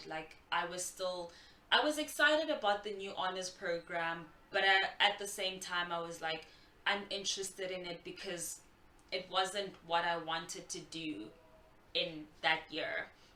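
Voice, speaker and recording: A woman's medium-pitched voice at a fairly slow pace, with ordinary pitch variation and noticeable background noise. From South Africa. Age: 20s. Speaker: graduate student. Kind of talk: casual talk to camera. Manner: open, vulnerable.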